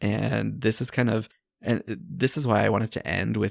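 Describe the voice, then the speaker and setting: In a very clean recording with a silent background, a man with a fairly low pitch speaks with vocal fry. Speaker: podcast host and life coach. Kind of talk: solo podcast monologue. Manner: sped up in editing.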